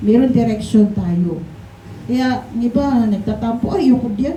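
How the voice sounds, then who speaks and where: With noticeable background noise and audible room echo, a woman talks at a moderate pace with ordinary pitch variation. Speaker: pastor. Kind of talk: sermon. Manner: gentle.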